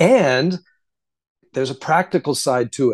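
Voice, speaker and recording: A man has a plain, everyday voice, fairly high in pitch with lively intonation at a moderate pace, dry and close with no echo against a quiet background. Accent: American. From US South, Florida. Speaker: author and science advocate. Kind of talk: interview.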